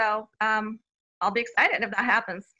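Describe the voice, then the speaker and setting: A woman's fairly high-pitched voice with a bright, sharp tone. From Bulgaria. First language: Bulgarian. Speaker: children's author. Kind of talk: interview.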